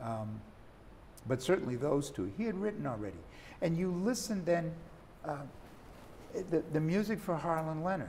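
With light background noise, a man at a fairly high pitch talks at a moderate pace, making very wide pitch swings and long, frequent pauses. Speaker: saxophonist and jazz author; guest. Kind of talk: interview. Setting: studio. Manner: halting. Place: studio. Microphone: lapel.

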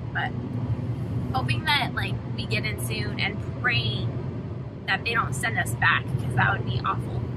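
A woman at a moderate pace with long, frequent pauses, dry sound with no echo, and loud background noise. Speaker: parent vlogger. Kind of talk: casual vlog chat. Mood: worried but hopeful.

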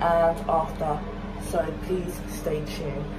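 Loud noise fills the background while a woman talks. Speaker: vlogger. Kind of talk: casual vlog chat.

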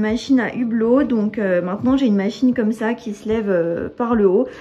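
A woman with a plain, everyday voice speaks at a moderate pace, using a fairly high pitch and ordinary pitch variation. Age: 20s. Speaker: lifestyle vlogger and wellness coach; lifestyle vlogger, wellness coach. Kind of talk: apartment tour vlog. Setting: at home. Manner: casual, many fillers. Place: home room. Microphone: phone near.

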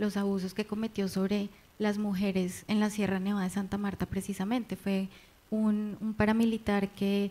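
A woman speaks at a fairly slow pace in a medium pitch, her dark, mellow tone held to a flat monotone. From Colombia. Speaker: novelist; panel author. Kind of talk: literary panel discussion. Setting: library event with audience. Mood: thoughtful, serious. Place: hall. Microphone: handheld.

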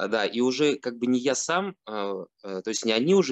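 A man talks at a moderate pace. The background is quiet and the sound is dry, with no echo. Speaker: online course mentor. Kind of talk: testimony. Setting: video call. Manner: halting. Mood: pleased, relaxed. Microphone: video call.

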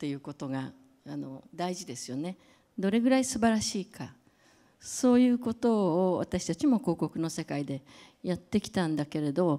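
A woman with a fairly low pitch and a dark, mellow tone shows big swings in loudness over a quiet background. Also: moderate pace. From Japan. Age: 70s. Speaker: creative director and brand advisor; speaker. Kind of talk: lecture; public talk. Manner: halting, many fillers. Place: hall. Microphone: handheld.

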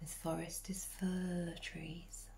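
A woman is speaking. Her tone is soothing and calm. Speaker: medicine woman and ancestral healer. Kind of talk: guided meditation. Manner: slow, soothing, calm and gentle; soft-spoken, dreamy, unhurried with long pauses.

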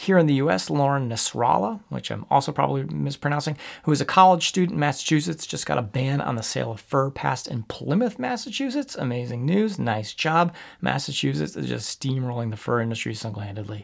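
A man talks at a fairly quick pace with hardly any pauses. The background is quiet. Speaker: animal rights commentator. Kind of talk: commentary. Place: home room.

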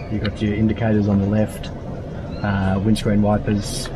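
Noticeable background noise behind a man talking at a moderate speed. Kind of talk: casual explanation of controls. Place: car.

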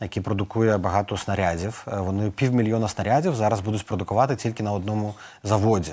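At a very fast pace, a man with a fairly low pitch and a dark, mellow tone talks in fairly even intonation. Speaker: political adviser. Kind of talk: news interview.

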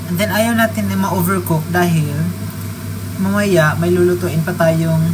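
The speech moves at a fairly slow pace over noticeable background noise. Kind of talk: cooking tutorial. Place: kitchen. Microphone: phone near.

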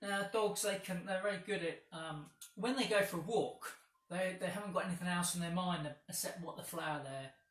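The man's pitch is high, with ordinary variation. There is audible room echo. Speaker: yoga instructor. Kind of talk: guided yoga class, step-by-step cueing. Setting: home video with a dog on the mat. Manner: calm, slow, soothing, instructive. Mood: calm, gentle guidance. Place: home room. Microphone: camera far.

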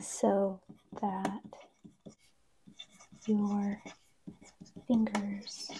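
A soft-spoken woman talks in a monotone, flat way. Noticeable background noise sits behind her. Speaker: ASMR creator. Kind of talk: ASMR soft-spoken talk to camera. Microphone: lapel.

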